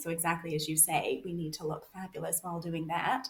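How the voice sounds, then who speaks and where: A woman's fairly low-pitched, normal speaking voice at a moderate pace. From Canada. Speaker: author and researcher. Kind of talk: podcast interview.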